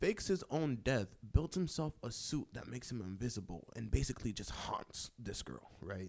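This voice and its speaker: With a dark, mellow tone at medium pitch, a man speaks at a moderate pace with lively intonation on a very clean recording with a silent background. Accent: American. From Washington DC area. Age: 20s. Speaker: podcast host. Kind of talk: casual chat.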